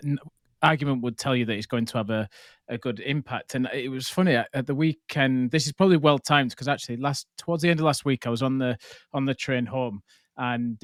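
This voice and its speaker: Heard in a dry, close sound with no echo, a man with a northern English accent speaks very fast at a medium pitch with fairly even intonation. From northern England. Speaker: podcast host. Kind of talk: casual interview chat.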